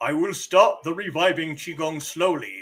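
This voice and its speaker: At a moderate pace, a man uses a high-pitched put-on character voice. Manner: epic, grandiose.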